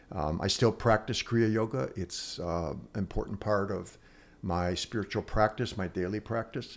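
With an Upper Midwest accent, a man talks at a fairly slow pace and a fairly low pitch with ordinary pitch variation, on a very clean recording with a silent background. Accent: Upper Midwest American. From US Midwest (Chicago-born, raised Milwaukee). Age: 70s. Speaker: retired chemistry teacher and men's work leader. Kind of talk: casual interview. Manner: emotional, heartfelt.

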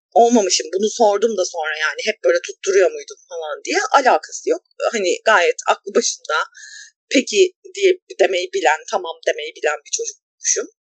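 Recorded with a dry, close sound and no echo, a woman talks at a moderate pace. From small Anatolian city, Turkey. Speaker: podcast co-host. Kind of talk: casual chat.

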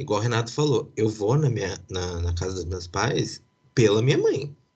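Against a quiet background, a man talks with a medium pitch and lively intonation. His voice is somewhat breathy. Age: 30s. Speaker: podcast host. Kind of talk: casual chat.

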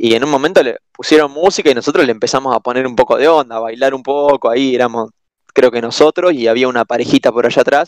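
A man speaks very fast in a Rioplatense accent. His voice is medium in pitch with ordinary pitch variation, and the sound is dry and close with no echo. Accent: Argentine Rioplatense Spanish. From Argentina. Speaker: exchange student guest. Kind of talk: casual chat.

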